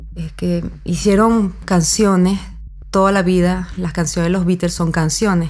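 A woman speaks fairly slowly, and the room echo is audible. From mixed European and Venezuelan heritage. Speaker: musician. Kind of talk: casual conversation.

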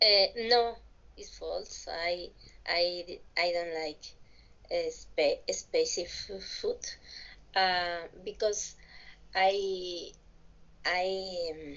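A woman with a Mexican accent talks at a very slow pace, leaving long, frequent pauses. Her loudness swings widely from moment to moment. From Mexico, Tabasco (Villahermosa). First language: Spanish. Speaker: English language student. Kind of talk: language class conversation practice. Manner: halting.

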